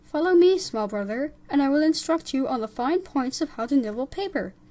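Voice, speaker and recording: A put-on character voice comes through on a very clean recording with a silent background. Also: woman, high pitch for a woman, fairly quick pace. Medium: read story. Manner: bossy, instructive.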